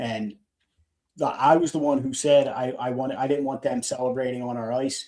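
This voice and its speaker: The voice has a dark, mellow tone and monotone, flat intonation, delivered at a moderate pace in a Philadelphia accent. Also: man, medium pitch for a man. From Philadelphia, US. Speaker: fan podcast co-host. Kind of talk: casual chat. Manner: halting.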